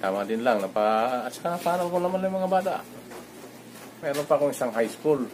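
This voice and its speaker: Light background noise sits behind a man who speaks at a fairly quick pace with ordinary pitch variation. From Philippines. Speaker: overseas worker vlogger. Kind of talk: vlog monologue. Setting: at home. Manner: halting. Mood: reflective, calm. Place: home room. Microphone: phone near.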